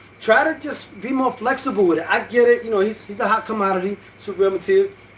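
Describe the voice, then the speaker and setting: With noticeable background noise behind him, a man talks at a very fast pace in an animated tone. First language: Spanish. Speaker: boxing YouTuber. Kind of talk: casual vlog commentary. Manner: animated, hesitant with fillers.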